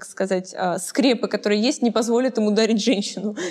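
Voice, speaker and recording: A woman's fairly high voice with a dark, mellow tone, at a very fast pace with fairly even intonation. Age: 20s. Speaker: talk show host. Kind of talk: casual interview chat.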